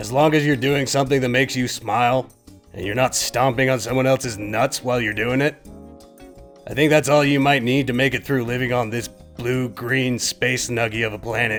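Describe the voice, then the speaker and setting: Over clear music in the background, a man performs a cartoonish character voice at medium pitch and a moderate pace. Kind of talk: comedic puppet monologue. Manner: casual, deadpan.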